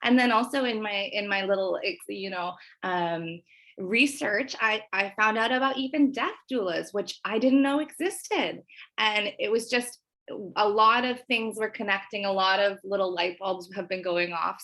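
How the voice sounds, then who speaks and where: Her tone animated, bright and sharp, a woman with a Canadian accent speaks at a medium pitch. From western Canada, Nelson BC. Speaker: prospective student. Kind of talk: casual interview.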